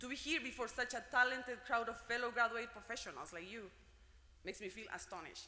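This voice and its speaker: A woman with a Spanish accent speaks at a very fast pace in a fairly high pitch, with ordinary pitch variation and big swings in loudness. Noticeable background noise and audible room echo fill the recording. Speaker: graduate student speaker. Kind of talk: commencement speech. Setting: gymnasium ceremony with audience.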